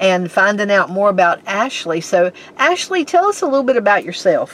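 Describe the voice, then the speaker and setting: A medium-pitched woman speaks with lively intonation at a moderate pace. There is noticeable background noise. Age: 60s. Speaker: podcast host, horse owner. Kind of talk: casual interview.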